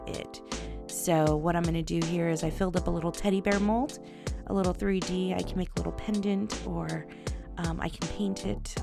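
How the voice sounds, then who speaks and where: With music in the background, a soft-spoken woman talks at a moderate pace. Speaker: resin crafter. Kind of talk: casual crafting tutorial talk.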